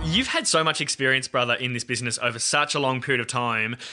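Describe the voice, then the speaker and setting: Very fast, medium-pitched male speech in an Australian accent, bright and sharp in tone, fairly even in intonation, over a quiet background. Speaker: podcast host and radio producer. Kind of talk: casual interview chat.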